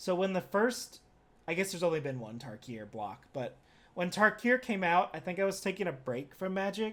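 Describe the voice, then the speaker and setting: A man's high voice at a moderate pace, full of very wide pitch swings. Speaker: streamer reviewing card game set. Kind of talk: casual live stream commentary. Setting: live stream.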